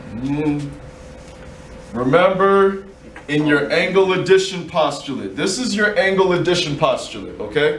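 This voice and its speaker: With audible room echo and noticeable background noise, a man speaks at a fairly slow pace in a high voice with ordinary pitch variation. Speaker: math teacher. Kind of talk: classroom lesson. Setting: classroom with students.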